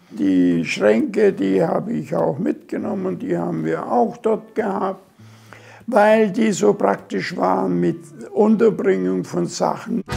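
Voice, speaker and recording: This man's very slow speech comes through noticeable background noise. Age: 80s+. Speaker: retiree. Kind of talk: casual home tour talk.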